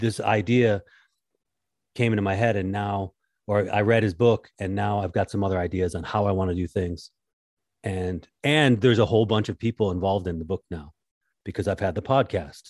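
A man at a fairly low pitch and moderate pace, ordinary pitch variation, a plain, everyday voice, dry and close with no echo, on a very clean recording with a silent background. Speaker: podcast host and contractor. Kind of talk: casual interview chat.

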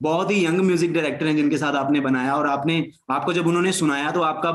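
A man talks at a fairly high pitch. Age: young. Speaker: podcast host. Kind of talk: interview.

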